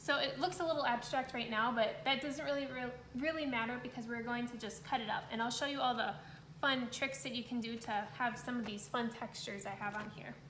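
High-pitched and fairly quick, a woman speaks with fairly even intonation amid light background noise and audible room echo. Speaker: art instructor. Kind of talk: tutorial. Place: home room. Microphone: phone near.

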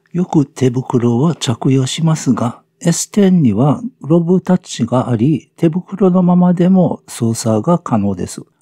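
Speaking at a very slow pace, this man has a fairly high pitch, a dark, mellow tone and lively intonation, with a dry, close sound and no echo. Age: 70s. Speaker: senior product reviewer, farmer and English teacher. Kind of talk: scripted narration.

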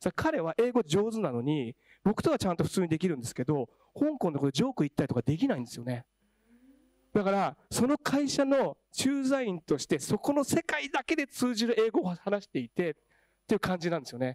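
Against a quiet background with dry sound and no echo, a man talks at a fairly quick pace in a high pitch with very wide pitch swings. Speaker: education professional; panelist. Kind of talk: panel discussion. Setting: stage with audience. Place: hall. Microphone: handheld.

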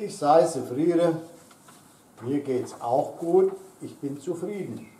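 A man speaks very slowly in a high voice with ordinary pitch variation. His loudness swings widely, and room echo is audible. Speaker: dialect teacher. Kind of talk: dialect demonstration. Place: garden. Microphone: camera far.

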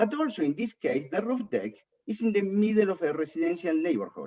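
A man with a non-native accent and a dark, mellow tone talks at a fairly quick pace with very wide pitch swings. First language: not English. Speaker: resident speaking at public hearing. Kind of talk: public comment at planning board hearing.

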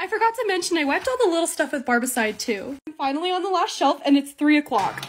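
With music in the background, a woman talks at a very fast pace in a high pitch, her pitch swinging very widely and hardly any pauses between words. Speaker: lifestyle video creator. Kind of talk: vlog narration. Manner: animated.

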